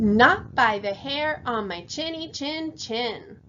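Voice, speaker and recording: A woman adopts a put-on character voice, pitched high and delivered at a very slow pace. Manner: defiant.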